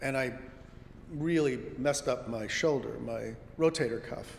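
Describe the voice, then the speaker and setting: Fairly slow delivery with audible room echo. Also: man. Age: 70s. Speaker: congregation member giving a talk. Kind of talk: lay sermon talk. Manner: conversational.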